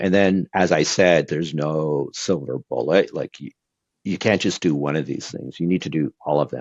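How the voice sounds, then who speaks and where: A man speaks at a moderate pace with a very deep, low pitch. His voice has vocal fry and ordinary pitch variation. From Brazil. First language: Portuguese. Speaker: e-commerce executive. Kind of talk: podcast interview. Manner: conversational with frequent fillers.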